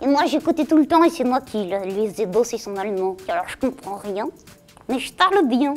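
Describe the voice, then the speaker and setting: Using a put-on character voice, a woman speaks at a high pitch while faint music plays in the background. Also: moderate pace. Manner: cheeky, spontaneous.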